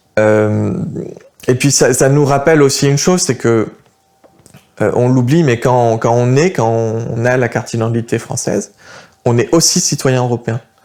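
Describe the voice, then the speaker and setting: A man at a fairly slow pace, medium in pitch, with ordinary pitch variation and long, frequent pauses. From France. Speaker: political youth activist. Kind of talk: interview. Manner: hesitant, many fillers.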